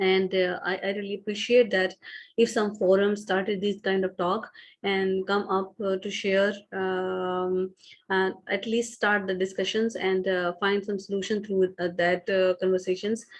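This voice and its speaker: At a fairly slow pace, a woman with a Pakistani accent speaks at medium pitch in a monotone, flat way. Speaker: business founder and CEO. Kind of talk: online talk. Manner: halting, many fillers.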